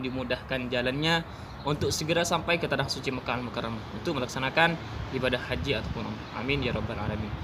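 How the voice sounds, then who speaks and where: With noticeable background noise and audible room echo, a man speaks at a very fast pace, medium in pitch, with ordinary pitch variation. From Madura, Indonesia. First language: Madurese (speaking Indonesian). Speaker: migrant worker vlogger. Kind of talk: casual vlog storytelling. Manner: halting.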